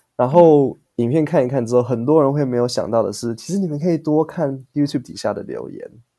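With a Taiwanese accent, a man speaks at a fairly quick pace with hardly any pauses, fairly high pitch and ordinary pitch variation. His tone is dark and mellow, on a very clean recording with a silent background. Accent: Taiwanese Mandarin. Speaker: English teacher podcaster. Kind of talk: casual chat interview.

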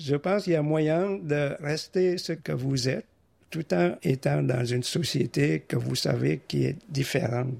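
Speaking with a Vietnamese accent at a fairly slow pace, the voice carries lively intonation and very even loudness. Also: man, fairly high pitch for a man. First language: Vietnamese (speaking French). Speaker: immigrant retiree, engineer. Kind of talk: interview.

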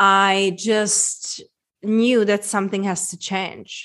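Against a quiet background, a woman speaks very slowly in a Czech accent. Her pitch is medium and her intonation monotone and flat. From Czech Republic, small town. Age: 30s. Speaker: women's transformation coach. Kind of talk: interview conversation.

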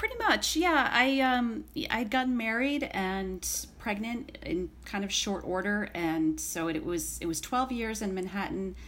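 Over noticeable background noise, a woman with an American accent speaks at a medium pitch and a fairly slow pace. Her intonation is lively, and she leaves hardly any pauses. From central New York, Syracuse area. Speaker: writer. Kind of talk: casual chat.

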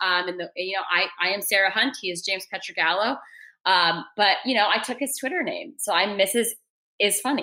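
A woman's medium-pitched voice, bright and sharp in tone, with ordinary pitch variation. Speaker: podcast producer. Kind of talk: casual chat. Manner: fast talker.

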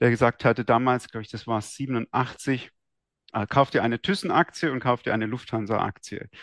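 With fairly even intonation, a man speaks in a dry, close sound with no echo against a quiet background. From Swabia, southern Germany (Esslingen near Stuttgart). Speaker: trader and trading-system programmer. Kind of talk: interview.

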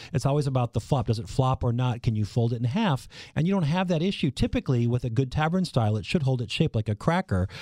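A man with an American accent talks at a very fast pace, hardly pausing, his medium-pitched voice dark, mellow and somewhat breathy with lively intonation. The sound is dry and close with no echo, on a very clean recording over a silent background. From Minnesota, US Midwest. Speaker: food writer and pizza expert. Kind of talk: interview.

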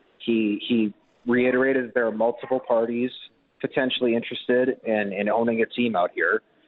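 A man at a moderate pace in an ordinary speaking voice, his pitch medium. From Winnipeg, Manitoba, Canada. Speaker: football journalist. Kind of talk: radio sports interview.

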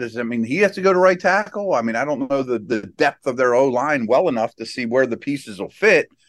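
A man with an unremarkable speaking voice, lively intonation and a fairly quick pace. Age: 50s. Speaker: football analyst, co-host. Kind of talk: casual sports talk.

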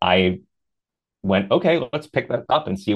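His pitch sits fairly low for a man. The pace is moderate. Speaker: adult performer. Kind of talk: casual interview conversation.

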